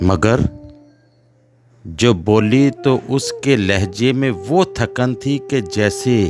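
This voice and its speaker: With music in the background, a man speaks at a medium pitch. His pitch varies in an ordinary way. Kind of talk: poetry reading. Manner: expressive, emotional.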